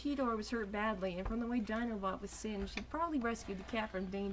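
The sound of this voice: Pitch moves with ordinary variation. The delivery is an unforced reading voice.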